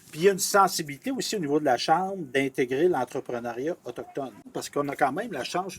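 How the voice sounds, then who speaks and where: At a very fast pace, a man speaks in a somewhat breathy voice with ordinary pitch variation. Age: 60s. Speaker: TV interviewer. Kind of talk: interview. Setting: on location outdoors at event.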